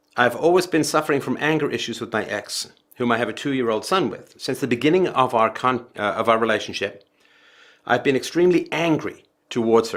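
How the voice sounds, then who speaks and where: A man with a plain, everyday voice and a medium pitch moves at a fairly quick pace with ordinary pitch variation, in a very clean recording with a silent background. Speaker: philosophy podcast host. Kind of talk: reading a listener's email aloud.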